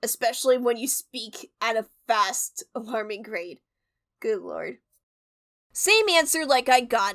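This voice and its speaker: With a high pitch and lively intonation, a woman talks at a fairly slow pace, her loudness swinging widely, with long, frequent pauses and a dry, close sound with no echo. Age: 20s. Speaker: storytime youtuber. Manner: stumbling over words.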